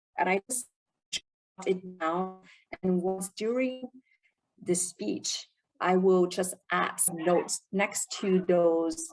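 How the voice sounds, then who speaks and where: A woman speaks at a very slow pace with a non-native accent. Her pitch sits fairly low. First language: not English. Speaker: club member presenting Q&A. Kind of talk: Q&A session at a speaking club meeting. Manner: halting, many fillers.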